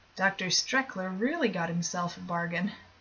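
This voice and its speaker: Noticeable background noise is present throughout. Over it, a woman talks at a medium pitch. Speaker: amateur audiobook reader. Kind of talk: horror short story reading.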